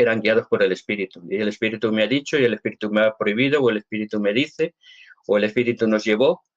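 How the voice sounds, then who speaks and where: The background is quiet. A man speaks at a fairly quick clip. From Spain. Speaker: Latter-day Saint church member answering questions; interviewee. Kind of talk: live Q&A interview. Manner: hesitant, repeats words. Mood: earnest, convinced. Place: home room. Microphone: webcam.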